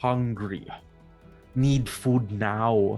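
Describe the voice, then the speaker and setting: Faint music plays behind a man doing a booming, put-on character voice at a medium pitch. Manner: demanding, blunt.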